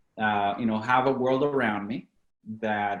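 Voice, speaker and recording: This man speaks with a Latin American accent at a medium pitch. His pace is very slow and his intonation fairly even. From Venezuela. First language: Spanish. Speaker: company founder and CEO. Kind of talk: podcast interview.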